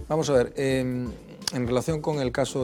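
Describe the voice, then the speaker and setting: A man talks fairly slowly with normal pitch movement while noticeable background noise plays behind him. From Galicia, La Estrada; Galicia. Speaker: political commentator. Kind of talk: panel debate. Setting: TV studio. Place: studio. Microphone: lapel.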